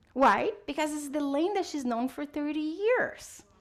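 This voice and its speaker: A woman speaks in a high voice with a Portuguese accent and an animated tone. Her pitch swings very widely. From Brazil. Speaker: psychologist speaker. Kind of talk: interactive talk with audience.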